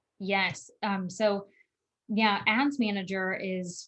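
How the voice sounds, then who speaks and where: A woman speaks in a medium pitch with fairly even intonation. Her voice is somewhat breathy. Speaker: marketing coach. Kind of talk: webinar Q&A.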